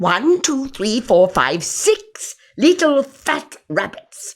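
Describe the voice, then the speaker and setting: A put-on character voice with very wide pitch swings and a very slow pace. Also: man, extremely high pitch for a man. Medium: read story.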